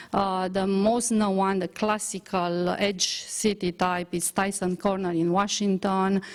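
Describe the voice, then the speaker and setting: With a Romanian accent, a woman speaks at a fairly slow pace in a monotone, flat intonation. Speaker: transport engineer researcher. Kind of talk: conference presentation. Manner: halting, many fillers.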